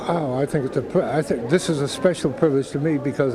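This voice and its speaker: Music plays in the background while a man speaks at a fairly quick pace, in an American accent. His pitch is fairly high and his intonation fairly even. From Boston, US. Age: 80s+. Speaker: war veteran. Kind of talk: interview. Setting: airport.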